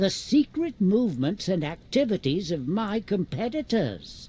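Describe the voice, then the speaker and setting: A smug, put-on character voice at middle pitch swings very widely in pitch while keeping a moderate pace. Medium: video game. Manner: dry, precise, slightly smug.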